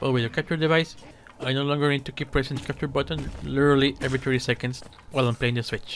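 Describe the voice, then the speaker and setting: A man talks at a very fast pace with a non-native accent. His intonation is fairly even. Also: fairly high pitch for a man. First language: not English. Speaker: gaming YouTuber. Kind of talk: video commentary.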